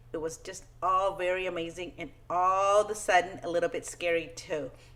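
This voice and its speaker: The speaker is a woman. She talks with a Spanish accent. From Peru, moved to US at ten. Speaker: children's book author. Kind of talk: talk to schoolchildren. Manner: friendly, simple, upbeat.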